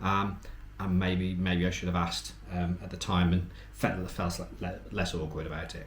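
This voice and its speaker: This man has a very deep, low pitch and ordinary pitch variation at a moderate pace. Audible room echo and noticeable background noise surround him. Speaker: travel vlogger. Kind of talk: casual chat. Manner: quiet; halting.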